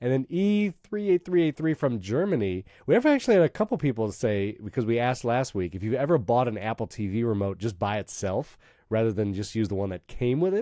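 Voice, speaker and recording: The voice moves at a fairly quick pace in an American accent, with a dark, mellow tone and very wide pitch swings. The recording is very clean and the background silent. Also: man, medium pitch for a man. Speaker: podcast host. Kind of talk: casual chat. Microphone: voice sounds different due to cold, not new mic.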